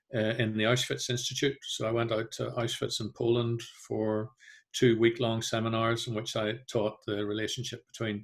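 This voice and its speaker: On a very clean recording with a silent background, a man with a Northern Irish accent speaks at a moderate pace in a monotone, flat intonation. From Northern Ireland. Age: 50s. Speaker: genocide and trauma educator. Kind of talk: talk to community group. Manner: hesitant, many fillers.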